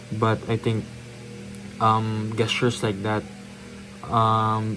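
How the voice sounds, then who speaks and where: A man of medium pitch with music in the background. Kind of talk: casual talk to camera. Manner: hesitant, many filler words.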